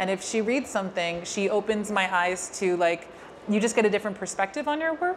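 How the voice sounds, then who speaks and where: A woman with a New York accent talks at a fairly quick pace and medium pitch. Her intonation is lively, and there is noticeable background noise. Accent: New York American. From New York, US. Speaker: filmmaker. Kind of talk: interview at a public Q&A.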